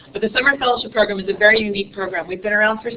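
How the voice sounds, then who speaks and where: A woman at a medium pitch and very fast pace, with noticeable background noise. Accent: American. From New York City. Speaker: nonprofit director presenting to teachers. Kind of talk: conference presentation.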